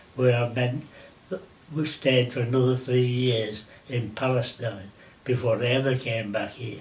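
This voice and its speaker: The intonation is monotone and flat, broken by long, frequent pauses. Noticeable background noise runs underneath. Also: man, medium pitch for a man. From Merseyside, England. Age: 80s+. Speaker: war veteran. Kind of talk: interview answer.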